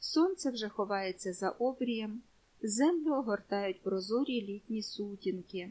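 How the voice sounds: A reading voice, natural in sound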